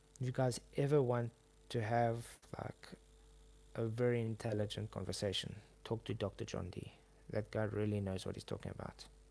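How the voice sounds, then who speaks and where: Speaking with a South African accent, a man uses a fairly low pitch and a dark, mellow tone. He goes at a moderate pace with long, frequent pauses and fairly even intonation. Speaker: YouTuber. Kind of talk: casual chat. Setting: live stream. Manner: halting.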